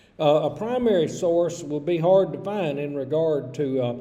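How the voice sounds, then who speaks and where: A man speaks in a Southern US accent, fairly high in pitch and with lively intonation. His pace is fairly slow, and audible room echo surrounds him. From US South, Georgia. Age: 60s. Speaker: college English instructor. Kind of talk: recorded lecture. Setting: recorded virtual classroom video.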